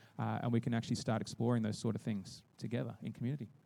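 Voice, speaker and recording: On a very clean recording with a silent background, a man with an Australian accent speaks at a very fast pace in a dark, mellow tone at medium pitch. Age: 30s. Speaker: youth pastor. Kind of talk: church presentation. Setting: stage with audience.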